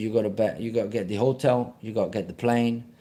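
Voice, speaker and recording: A man's medium-pitched voice in a dark, mellow tone at a fairly quick pace, with an Italian accent. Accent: non-native, Italian. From Sicily, Italy. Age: 40s. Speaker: personal trainer and triathlete. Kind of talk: live stream chat. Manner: casual, halting with fillers.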